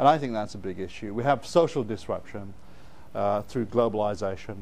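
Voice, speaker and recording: A man talks at a fairly quick pace with a fairly low pitch. Audible room echo surrounds him. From northern England (Bradford, Yorkshire). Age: 60s. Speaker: education consultant and speaker. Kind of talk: keynote lecture.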